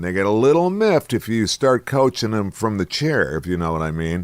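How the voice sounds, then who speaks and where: A man's fairly low voice moves along at a moderate pace. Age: 60s. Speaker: radio host. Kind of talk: casual monologue. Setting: studio. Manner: animated.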